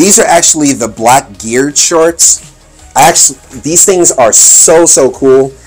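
Faint music sits in the background. A man speaks over it at a fairly slow pace. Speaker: fashion reviewer. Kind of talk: casual vlog chat. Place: home room. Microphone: phone near.

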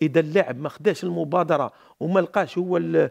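In an Algerian accent, a man with a high pitch talks at a fairly quick pace against a quiet background. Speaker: football coach and pundit; football analyst. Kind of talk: studio football analysis panel. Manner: halting, repeats words. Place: studio. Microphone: headset.

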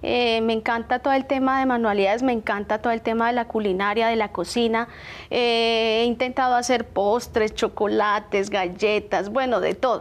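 Her loudness very even and her intonation fairly flat, a woman speaks at a moderate pace and fairly high pitch with hardly any pauses. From Bogotá, Colombia. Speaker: small business owner; guest. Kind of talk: TV interview. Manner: halting, many fillers. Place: studio. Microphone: lapel.

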